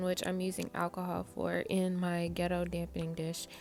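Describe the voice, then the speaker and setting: Music sounds in the background. A woman speaks at a moderate pace over it. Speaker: amateur nail tutorial creator. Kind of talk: casual tutorial voice-over.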